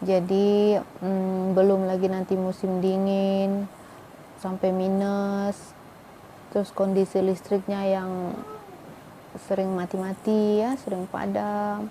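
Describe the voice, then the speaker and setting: Over noticeable background noise, a woman with a Medan accent speaks at a very slow pace in a medium pitch with monotone, flat intonation. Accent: Medan Malay. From Indonesia, Medan (North Sumatra), Malay ethnicity. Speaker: vlogger, Indonesian wife of a Pakistani man. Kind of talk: casual vlog talk. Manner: chatty, with many fillers.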